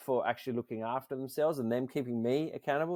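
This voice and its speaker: A man with an Australian accent talks at a very fast pace in a medium pitch with ordinary variation. The recording is very clean and silent in the background, with a dry, close sound and no echo. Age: 40s. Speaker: nonprofit founder. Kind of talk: interview.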